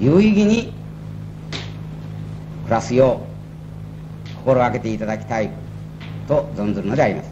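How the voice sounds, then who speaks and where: Noticeable background noise sits behind a man talking at a moderate pace. He pauses long and often, and his loudness swings a lot. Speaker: company president. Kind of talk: ceremonial speech. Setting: old tape recording. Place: hall. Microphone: old recording.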